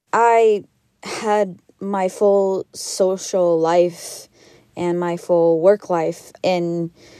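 Speaking with an American accent, a woman talks at a very slow pace in a medium pitch. Her intonation is monotone and flat, and her tone is dark and mellow. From Missouri, St. Louis. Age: 20s. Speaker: business owner. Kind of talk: interview.

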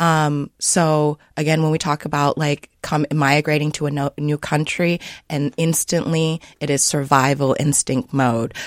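A woman's very deep, low voice with fairly even intonation and hardly any pauses, dry and close with no echo, in a very clean recording over a silent background. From Sioux Falls, South Dakota. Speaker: children's book author and early childhood educator. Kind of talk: radio interview. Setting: studio.

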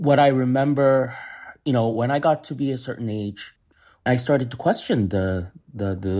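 A man's dark, mellow tone with lively intonation, captured in a very clean recording against a silent background. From US. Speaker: chef. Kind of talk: casual chat. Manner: halting.

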